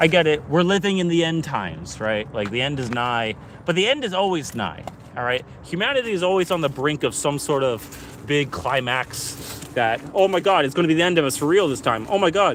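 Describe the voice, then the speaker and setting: Noticeable background noise sits behind a man's fairly high voice. He speaks at a fairly quick pace with lively intonation. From Canada. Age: 20s. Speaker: live streamer. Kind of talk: casual live stream monologue. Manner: animated.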